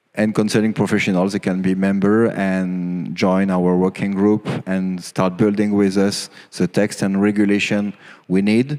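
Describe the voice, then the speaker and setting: The delivery is monotone and flat, at a moderate pace. Loudness stays very even throughout. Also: man, fairly low pitch for a man. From France. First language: French. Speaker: conference speaker on cybersecurity regulation. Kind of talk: conference talk. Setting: stage with audience. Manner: halting, many fillers.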